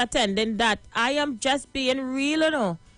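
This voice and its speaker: An animated woman's voice in a Trinidadian accent, bright and sharp in tone, with ordinary pitch variation. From Trinidad and Tobago. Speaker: live stream host. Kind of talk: live stream monologue.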